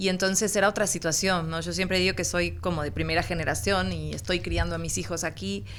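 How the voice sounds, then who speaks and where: A woman at a fairly quick pace with hardly any pauses, amid audible room echo. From Uruguay. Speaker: journalist. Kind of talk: interview conversation.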